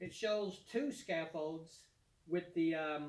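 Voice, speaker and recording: Speaking at a very slow pace in a high pitch, a man with a Kentucky accent keeps a fairly even intonation. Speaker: DIY home renovation YouTuber. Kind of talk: product demonstration tutorial. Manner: casual, with many fillers.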